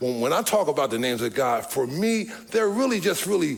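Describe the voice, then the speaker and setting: Music plays in the background. Over it, a man's pitch swings very widely. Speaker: pastor. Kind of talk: sermon.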